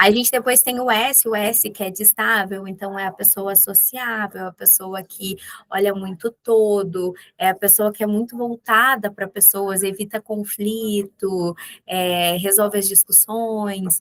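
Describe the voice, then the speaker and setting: A woman speaks at medium pitch with a southern Brazilian accent, at a fairly slow pace. Her intonation is fairly even, and the sound is dry and close with no echo. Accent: gaúcho accent, noticeable. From Rio Grande do Sul, southern Brazil. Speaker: business executive. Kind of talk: podcast interview. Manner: direct.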